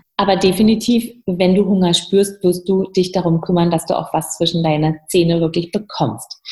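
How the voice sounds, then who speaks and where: A dark, mellow voice with a somewhat breathy quality. The pace is moderate and the pitch varies in an ordinary way. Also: woman, medium pitch for a woman. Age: 50s. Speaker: entrepreneur and coach. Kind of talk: interview.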